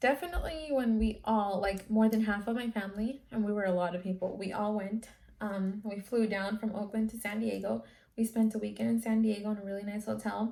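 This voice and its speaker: A woman with a Californian accent speaks fairly quickly at a medium pitch, her dark, mellow tone somewhat breathy and her intonation fairly even. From California, San Francisco Bay Area, partly Guatemala. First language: Spanish. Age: 20s. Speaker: YouTuber. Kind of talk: casual Q&A vlog.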